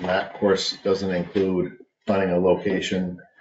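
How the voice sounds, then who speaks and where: Fairly slow delivery with light background noise and audible room echo. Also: man. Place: office. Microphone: webcam.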